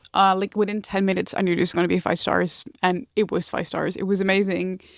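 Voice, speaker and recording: In a very clean recording with a silent background, a woman with a Dutch accent talks very fast at a medium pitch, her intonation monotone and flat. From Netherlands. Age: 20s. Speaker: book vlogger. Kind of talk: casual book review vlog. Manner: casual with many fillers.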